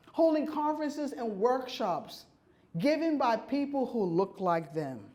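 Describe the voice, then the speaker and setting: With an American accent, a woman speaks in a high pitch with very wide pitch swings. Her pace is fairly slow, and audible room echo surrounds her voice. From New York City. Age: 60s. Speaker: keynote speaker, urban farmer and food justice advocate. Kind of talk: keynote speech. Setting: conference stage with audience.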